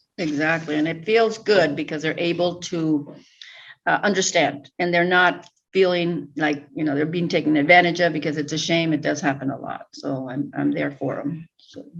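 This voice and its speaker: A woman talks at a moderate pace with a very deep, low pitch. Her pitch variation is ordinary. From Mexico (Jalisco), raised in US from age three. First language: Spanish. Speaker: real estate agent. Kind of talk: interview testimonial.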